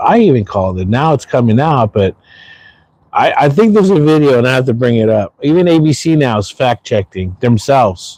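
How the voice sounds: At a moderate pace, a man with a medium pitch and a slightly mellow tone makes big pitch swings.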